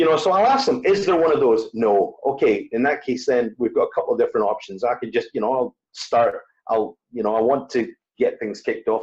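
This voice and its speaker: Speaking fairly quickly, a man talks with a Scottish accent. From Scotland. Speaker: wedding DJ. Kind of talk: interview conversation. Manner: hesitant, many fillers.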